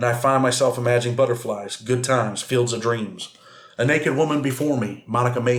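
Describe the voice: With fairly even intonation, the speaker does plain reading aloud.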